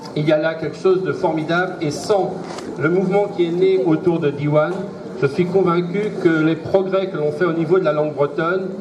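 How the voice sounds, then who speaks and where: With audible room echo and noticeable background noise, a man talks at a moderate pace in a high pitch with fairly even intonation. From Brittany, Finistère (Plusquellec). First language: Breton (speaking French). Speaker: school inspector. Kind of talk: formal speech. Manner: formal.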